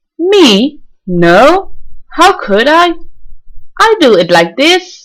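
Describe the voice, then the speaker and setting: In a put-on character voice, a woman speaks high in pitch with very wide pitch swings. Her pace is very slow. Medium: read story.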